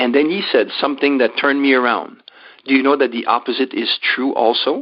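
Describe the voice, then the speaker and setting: Someone speaks in a French-Canadian accent at a fairly quick pace. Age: 60s. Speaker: life coach and motivational speaker. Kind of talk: interview.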